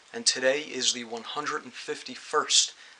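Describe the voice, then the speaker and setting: Over noticeable background noise, a man talks at a moderate pace and medium pitch with monotone, flat intonation. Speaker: record collector. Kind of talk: spoken video introduction.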